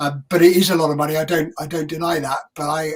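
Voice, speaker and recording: A man speaks fairly quickly at a fairly high pitch, his voice somewhat breathy. His intonation is flat and monotone. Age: 60s. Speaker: doctor, head of a professional college. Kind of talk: live-streamed interview.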